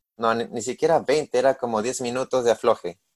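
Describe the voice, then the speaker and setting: In a very clean recording with a silent background and a dry, close sound with no echo, a man talks with ordinary pitch variation. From Peru. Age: 20s. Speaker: swimming podcast co-host and student athlete. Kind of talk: casual chat.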